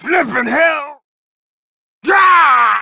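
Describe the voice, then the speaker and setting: A man puts on a character voice, speaking at an extremely high pitch and a very slow pace. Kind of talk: video game character voice lines. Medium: dub. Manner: rowdy, taunting.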